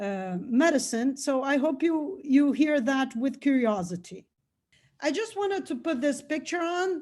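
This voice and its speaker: A woman speaks with a Brazilian Portuguese accent at a fairly slow pace. Her voice is high-pitched and swings very widely in pitch. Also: very clean recording, silent background. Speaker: researcher and nonprofit founder. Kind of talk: lecture. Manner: halting.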